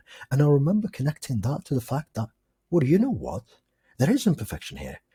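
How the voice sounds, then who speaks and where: Very fast and full of very wide pitch swings, the voice has a dark, mellow tone with vocal fry, heard in a dry, close sound with no echo. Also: man. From Algeria. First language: not English; English is his fourth language. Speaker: podcast guest, film enthusiast. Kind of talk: casual chat.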